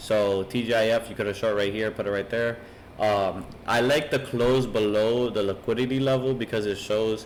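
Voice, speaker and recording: A man's medium-pitched voice, intonation fairly even. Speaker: trading educator. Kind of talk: tutorial. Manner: fast.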